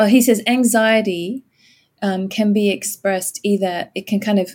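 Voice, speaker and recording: The voice belongs to a woman and is somewhat breathy. She has an American accent. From Australia. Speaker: pastor. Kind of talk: interview conversation about scripture.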